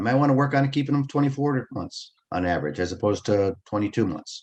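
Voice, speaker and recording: A man talks at a very fast pace with lively intonation. His pitch sits in the medium range. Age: 60s. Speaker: business coach and webinar presenter. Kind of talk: webinar presentation. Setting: online webinar. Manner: informal, with frequent self-corrections.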